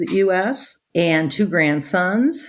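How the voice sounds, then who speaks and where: Speaking with a Midwestern American accent, a woman uses lively intonation. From Chicago, US Midwest. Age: 60s. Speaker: retired high school teacher. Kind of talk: interview conversation. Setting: video call.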